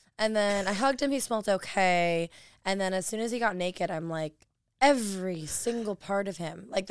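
The pitch varies in an ordinary way, and the delivery is fairly quick. The background is silent on a very clean recording. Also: woman. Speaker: adult performer and model. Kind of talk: casual chat. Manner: animated, talks fast.

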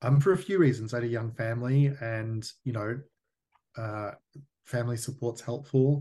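A man with an Australian accent speaks at medium pitch and a moderate pace, with ordinary pitch variation and long, frequent pauses. His tone is dark, mellow and somewhat breathy, set against a quiet background. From Australia, Melbourne. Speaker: whisky distillery founder. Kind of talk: interview.

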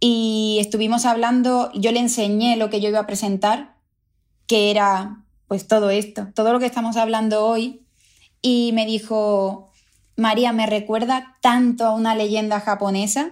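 At a fairly slow pace, a woman speaks with fairly high pitch, monotone, flat intonation and very even loudness, in a very clean recording with a silent background. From Cádiz, Andalusia, Spain. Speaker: architect, BIM coordinator. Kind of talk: personal testimony interview. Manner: hesitant, many fillers.

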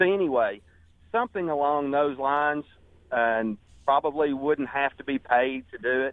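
This man has an unremarkable speaking voice, fairly high in pitch, delivered at a moderate pace with ordinary pitch variation. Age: 50s. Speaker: furniture manufacturing business owner. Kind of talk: radio call-in.

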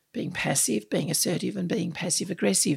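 A woman with an Australian accent and a fairly low pitch, on a very clean recording with a silent background. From Australia, Sydney. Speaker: unconscious bias speaker and author. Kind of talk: interview. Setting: in person across a table.

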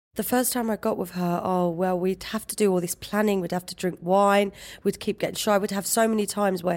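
A woman speaks at a moderate pace with a London accent and fairly even intonation. The recording is very clean, with a silent background. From East London, England. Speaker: interview guest sharing personal story. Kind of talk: personal testimony interview.

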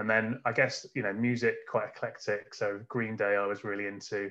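A man speaks with a bright, sharp tone and a fairly low pitch. His intonation stays monotone and flat, with an English Midlands accent. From England, Northamptonshire (Kettering). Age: 30s. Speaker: business founder. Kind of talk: interview.

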